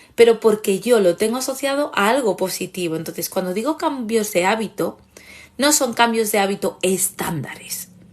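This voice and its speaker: Against a quiet background, a woman with a fairly high pitch talks at a moderate pace in an animated tone with lively intonation. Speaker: therapist and online course creator. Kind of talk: live stream talk.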